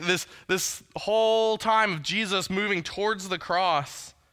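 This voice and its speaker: A man projects a raised voice at a high pitch with a bright, sharp tone. The recording is very clean, with a silent background. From US South, Huntsville, Alabama. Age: 30s. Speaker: student pastor. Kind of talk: sermon.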